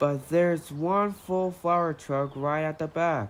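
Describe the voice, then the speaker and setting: Middle pitch and fairly slow pace in a put-on character voice. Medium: dub.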